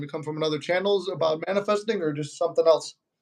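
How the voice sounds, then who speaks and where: With an American accent, a man speaks at a fairly quick pace in a fairly high pitch and fairly even intonation. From Chicago, US. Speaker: manifestation YouTuber. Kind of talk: casual live-stream chat. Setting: live stream.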